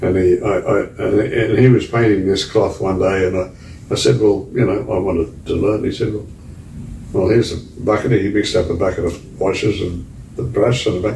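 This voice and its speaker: A man's fairly low voice at a moderate pace, fairly even intonation, noticeable background noise. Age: 80s+. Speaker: scenic artist. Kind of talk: interview answer.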